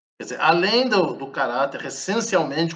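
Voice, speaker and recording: A man speaks at a moderate pace with lively intonation and a fairly high pitch, and audible echo fills the room. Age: 60s. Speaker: professor of Buddhist philosophy. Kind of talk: interview.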